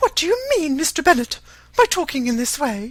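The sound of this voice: Speaking at a fairly quick pace, a man does a put-on character voice with an extremely high pitch, a fairly bright tone and big pitch swings.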